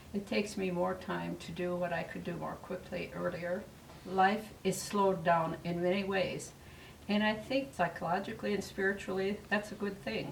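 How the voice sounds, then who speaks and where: A woman's medium-pitched voice with fairly even intonation, audible room echo and noticeable background noise. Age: 80s+. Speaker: retired resident of senior cooperative. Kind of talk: interview testimony. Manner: reflective, unhurried; halting with fillers.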